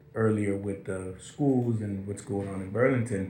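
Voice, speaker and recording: A man's fairly low voice with audible room echo. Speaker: talk show host. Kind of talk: casual chat.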